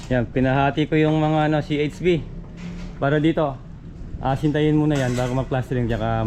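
A man at a fairly quick pace, with very even loudness and fairly even intonation, against noticeable background noise. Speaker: construction vlogger. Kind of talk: vlog walkthrough. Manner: casual, filler-heavy.

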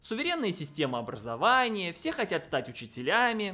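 A man's high-pitched, bright, sharp voice at a fairly quick pace, with very wide pitch swings and faint music in the background

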